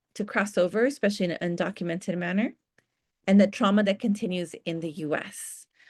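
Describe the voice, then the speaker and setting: Over a quiet background, a woman talks at a very fast pace with a medium pitch and ordinary pitch variation. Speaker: psychologist and trainer. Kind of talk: lecture.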